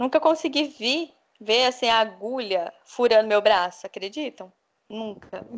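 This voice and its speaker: A woman's normal speaking voice, fairly high-pitched, at a fairly slow pace, with big swings in loudness. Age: 30s. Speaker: kidney transplant patient with fibromyalgia. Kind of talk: interview, personal testimony.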